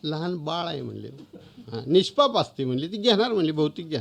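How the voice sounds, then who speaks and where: A man talks at a high pitch that swings very widely from one extreme to the other. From Maharashtra. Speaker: author. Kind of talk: storytelling.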